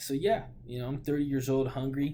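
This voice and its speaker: Monotone, flat intonation marks a man speaking with a West Coast American accent. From US Pacific Northwest, Portland, Oregon. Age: 20s. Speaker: vlogger. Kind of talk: casual monologue. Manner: halting, with frequent fillers and repeats.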